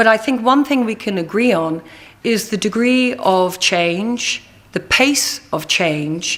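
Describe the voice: Speaking slowly, a woman uses lively intonation and a fairly bright tone. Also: medium pitch for a woman.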